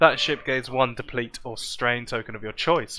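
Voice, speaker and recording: A man with a bright, sharp tone speaks at medium pitch and a moderate pace. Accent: southern English. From southern England, Southampton. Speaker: game stream commentator. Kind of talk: live commentary. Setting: live event arena.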